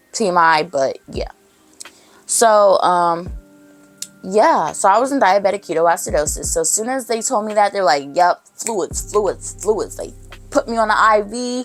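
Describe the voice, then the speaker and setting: With music in the background, a woman speaks at a fairly slow pace and a medium pitch, her tone animated and her intonation lively. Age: 20s. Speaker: vlogger. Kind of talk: casual chat.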